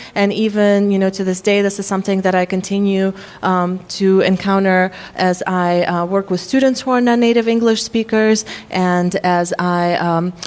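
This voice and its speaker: Speaking with a slight Russian accent against a quiet background, a woman keeps a medium pitch, fairly even intonation and very even loudness. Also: moderate pace. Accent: faint Russian. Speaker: psychology professor. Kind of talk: workshop lecture. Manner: frequent filler words (um, uh).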